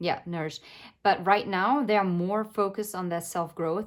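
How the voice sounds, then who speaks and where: The speaker has a non-native accent and a moderate pace, on a very clean recording with a silent background. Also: woman. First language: not English. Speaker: tarot reader. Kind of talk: tarot reading. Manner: hesitant, many filler words.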